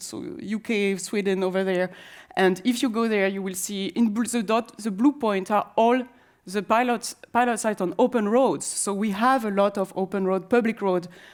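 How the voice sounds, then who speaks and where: A woman with a French accent talks at a moderate pace and a medium pitch. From France. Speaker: conference speaker on autonomous transit. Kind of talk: conference presentation. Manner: halting, many fillers and restarts.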